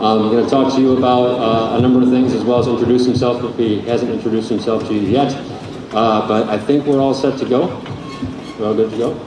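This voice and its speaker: Very fast speech in a monotone, flat intonation comes through with noticeable background noise and audible room echo. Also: man, medium pitch for a man. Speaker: band director. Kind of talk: concert announcements. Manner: casual, halting.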